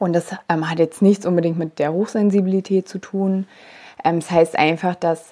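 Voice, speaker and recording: A woman speaks at a fairly low pitch with a dark, mellow tone. Her intonation stays flat and monotone. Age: 30s. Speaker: parenting coach and podcast host. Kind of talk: solo podcast monologue. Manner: hesitant, many filler sounds.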